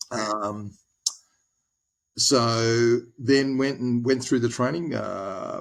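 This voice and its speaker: A man talks with ordinary pitch variation at a medium pitch. Nothing else is heard, as the recording is very clean and the background silent. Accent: Australian. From Australia, Tasmania (Hobart). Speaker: former naval officer turned lawyer. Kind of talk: podcast interview. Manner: hesitant, many fillers.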